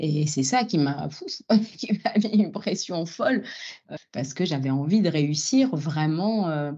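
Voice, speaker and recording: A woman talks very slowly at a fairly low pitch. Her tone is dark and mellow, with very wide pitch swings. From Algeria. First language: Algerian Arabic (speaking French). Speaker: opera singer. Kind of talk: interview conversation. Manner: hesitant, many fillers.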